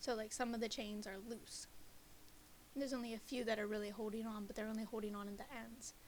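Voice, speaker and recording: A soft-spoken woman, fairly high in pitch, very fast and monotone with flat intonation. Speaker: student presenting a class project. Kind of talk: class presentation.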